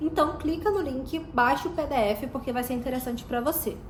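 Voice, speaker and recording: A woman's high-pitched voice at a moderate pace, with ordinary pitch variation, audible room echo and music in the background. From Brazil. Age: 20s. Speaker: vlogger. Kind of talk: vlog.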